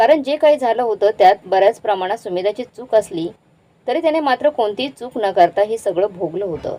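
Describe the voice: The intonation is lively in what is plain reading aloud.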